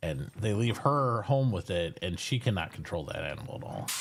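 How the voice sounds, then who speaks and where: The pace is moderate. A man talks in a somewhat breathy voice. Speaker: streamer. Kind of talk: casual chat. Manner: subdued.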